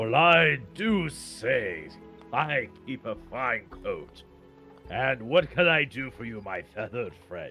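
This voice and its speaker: Over faint music in the background, a man puts on a character voice at medium pitch and a fairly slow pace. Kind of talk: refined, upper-class. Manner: pompous, courteous.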